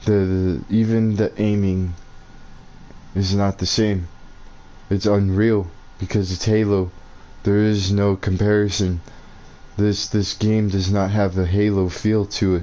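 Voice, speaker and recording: At a fairly slow pace, a man with an American accent and a fairly low pitch talks in a monotone, flat intonation, with very even loudness and long, frequent pauses. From New Mexico, US. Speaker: gaming streamer. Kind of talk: gameplay commentary rant.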